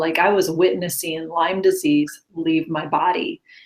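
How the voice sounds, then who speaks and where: At a fairly slow pace, a woman with an American accent speaks in an unremarkable speaking voice pitched fairly low. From Upstate New York. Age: 50s. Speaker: Lyme disease patient sharing recovery story. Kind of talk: interview testimony.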